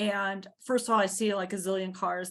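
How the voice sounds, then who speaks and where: An unremarkable speaking voice at a moderate pace, with fairly even intonation and a quiet background. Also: woman. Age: 60s. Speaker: community garden founder. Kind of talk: video call interview.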